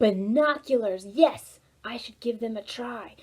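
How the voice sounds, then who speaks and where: In a put-on character voice, the delivery comes fairly slowly. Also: woman, fairly high pitch for a woman. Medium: read story. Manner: eager, boisterous.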